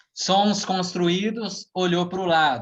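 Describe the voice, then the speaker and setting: The speech goes at a very slow pace. Audible room echo fills the recording. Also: man. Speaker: hypnotherapist and NLP practitioner. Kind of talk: online lecture talk. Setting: live stream.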